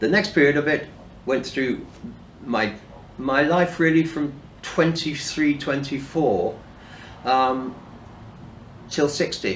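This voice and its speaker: With a British accent, a man speaks very slowly, leaving long, frequent pauses, at a fairly high pitch with ordinary variation. Audible room echo surrounds his voice. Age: 60s. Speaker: person in addiction recovery. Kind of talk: personal testimony. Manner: halting, with fillers and restarts.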